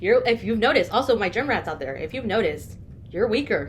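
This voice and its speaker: Her voice sits fairly high for a woman. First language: not English. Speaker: podcast co-host. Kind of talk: casual chat.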